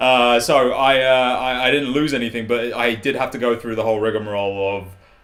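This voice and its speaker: Audible room echo and noticeable background noise surround speech delivered at a fairly quick pace. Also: man. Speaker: video producer. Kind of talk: casual chat. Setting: live stream. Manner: loud; animated.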